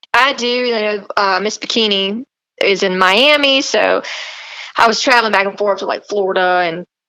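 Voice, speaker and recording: A woman with a strong Southern accent and ordinary pitch variation. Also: medium pitch for a woman, moderate pace. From US South, South Carolina. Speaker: fitness model and country singer. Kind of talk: podcast interview. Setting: remote call. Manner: animated.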